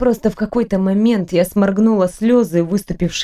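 Reading in an unforced voice

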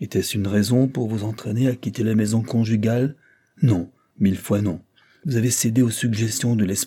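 Against a quiet background, an unforced reading voice holds fairly even intonation.

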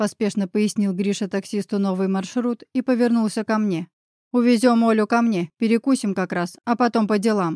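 Against a quiet background, the reading aloud comes in a natural voice.

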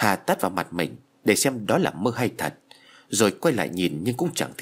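This is a natural reading voice. It reads aloud as a natural reading voice.

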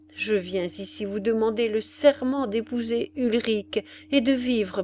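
The pitch varies in an ordinary way during this reading aloud in a natural voice.

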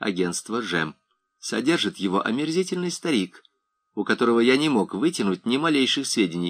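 A quiet background behind someone reading aloud in a natural voice

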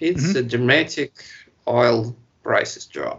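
A man with a Russian accent speaks at a fairly slow pace. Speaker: podcast co-host. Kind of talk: casual chat. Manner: halting.

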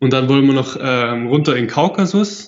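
A man speaks at a moderate pace with a fairly high pitch, ordinary pitch variation and an unremarkable speaking voice. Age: 20s. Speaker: world traveler. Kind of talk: casual interview.

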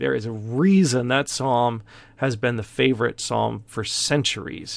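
A man's unremarkable speaking voice at medium pitch with ordinary pitch variation, in a very clean recording with a silent background. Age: 50s. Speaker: pastor. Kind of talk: Bible study lecture. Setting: office, livestream video. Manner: casual, with many fillers.

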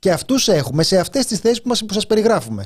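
This man's pitch moves in very wide swings. His pace is fairly quick. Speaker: radio host. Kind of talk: casual chat.

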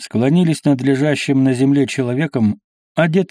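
Unforced reading, with a quiet background

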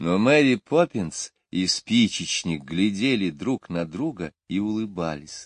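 The speaker is reading aloud in a natural voice. The intonation is lively, and the background is quiet.

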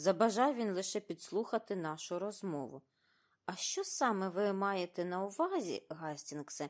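Simply plain reading aloud

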